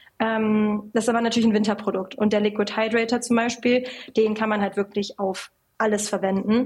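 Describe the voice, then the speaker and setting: A woman talks at a fairly quick clip in a fairly high pitch, her loudness very even and her intonation monotone and flat. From western Germany (North Rhine-Westphalia). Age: 20s. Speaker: cosmetics company founder and CEO. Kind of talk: casual interview.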